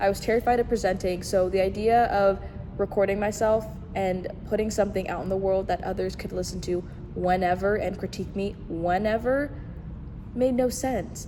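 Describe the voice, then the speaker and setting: Noticeable noise sits behind a woman with a medium pitch. Her pace is moderate and her intonation fairly even. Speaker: podcast host. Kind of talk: solo podcast monologue. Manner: stuttering over words, halting.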